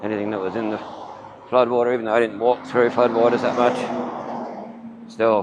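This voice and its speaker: Over noticeable background noise, a man with an Australian accent speaks at a moderate pace and a medium pitch. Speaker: walking-tour vlogger. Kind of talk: vlog narration while walking.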